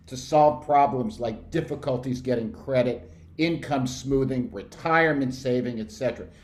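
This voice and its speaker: A man talks at a fairly slow pace in a medium pitch with an animated tone. There is audible room echo. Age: 60s. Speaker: researcher presenting survey findings. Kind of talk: presentation. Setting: video call.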